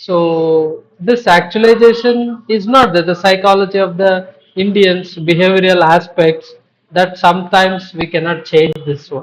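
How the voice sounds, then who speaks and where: A man's high voice at a fairly slow pace. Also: fairly even intonation. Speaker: professor. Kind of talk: panel discussion.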